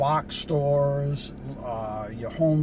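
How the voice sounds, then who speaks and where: There is noticeable background noise behind this recording. A man speaks in a relaxed tone with a fairly high pitch. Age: 70s. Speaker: van life vlogger. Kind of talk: casual vlog talk to camera. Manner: relaxed, halting with fillers.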